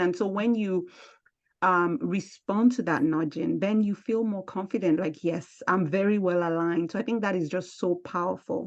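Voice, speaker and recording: A woman with a strong African accent talks at a moderate pace. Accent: thick African. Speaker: podcast host and speaker. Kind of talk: interview conversation.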